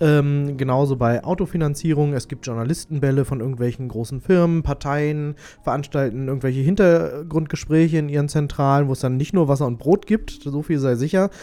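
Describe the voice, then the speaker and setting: A dark, mellow tone moves at a fairly quick pace with hardly any pauses and ordinary pitch variation. The recording is very clean, with a silent background. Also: man, fairly high pitch for a man. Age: 20s. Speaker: radio host. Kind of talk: news reading; casual chat.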